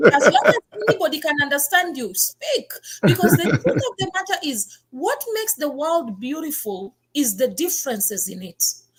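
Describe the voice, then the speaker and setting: Speaking at a moderate pace, a woman with a high voice sounds animated, her pitch swinging very widely and her loudness shifting in big swings. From Kenya, rural village. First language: Kenyan mother tongue, also Swahili. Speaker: talk show host. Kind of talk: interview conversation.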